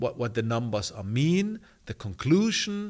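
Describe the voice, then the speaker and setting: A man speaks with a German accent in a very clean recording over a silent background. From Germany. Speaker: online community coach. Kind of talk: tutorial. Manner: halting.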